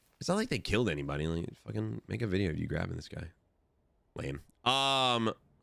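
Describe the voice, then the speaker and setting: A man with a very deep, low pitch talks loudly at a fairly quick pace, his animated tone bright and sharp. His voice makes very wide pitch swings, broken by long, frequent pauses. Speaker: gaming streamer. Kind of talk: casual live-stream chat.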